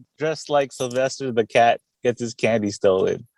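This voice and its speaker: The speech has a New York accent, a moderate pace and ordinary pitch variation. The sound is dry and close, with no echo. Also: man. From Queens, New York (born in the Philippines). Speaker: veteran and coffee company founder. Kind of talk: casual interview.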